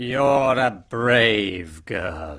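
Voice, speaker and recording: A man's raspy, put-on character voice at medium pitch, lively in intonation, on a very clean recording with a silent background. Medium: audio drama. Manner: stern, commanding.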